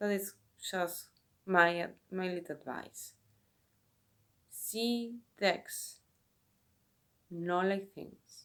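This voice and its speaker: A woman with a Spanish accent at medium pitch, very slow pace with long, frequent pauses, fairly even intonation and big swings in loudness. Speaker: tarot reader and video creator. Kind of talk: casual talk to camera. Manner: halting, with self-corrections.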